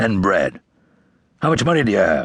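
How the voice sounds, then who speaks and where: In a put-on character voice, the speaker growls in a gruff tone at a moderate pace. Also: man. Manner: gruff, growling.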